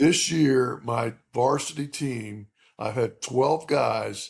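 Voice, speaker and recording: Vocal fry marks this man's voice, and his pitch varies in an ordinary way. He speaks at a very slow pace. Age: 60s. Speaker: high school baseball coach. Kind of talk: casual interview chat. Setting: remote recording. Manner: halting, many fillers.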